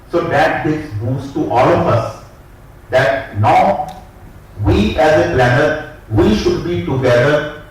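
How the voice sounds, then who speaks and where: Noticeable background noise and audible room echo surround a man who talks at a fairly slow pace with lively intonation and long, frequent pauses. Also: fairly high pitch for a man. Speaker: town planning official. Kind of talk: conference talk.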